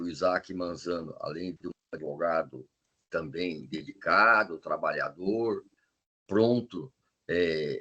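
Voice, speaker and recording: A man speaks here. His pitch is very deep and low. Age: 70s. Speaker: criminal defence lawyer, jury trial veteran. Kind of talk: podcast interview.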